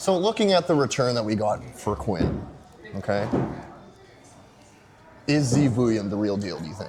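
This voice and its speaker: With noticeable background noise, a man speaks at medium pitch and a moderate pace. His pitch swings very widely, and he takes long, frequent pauses. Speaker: podcast host. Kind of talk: podcast hosting, casual talk.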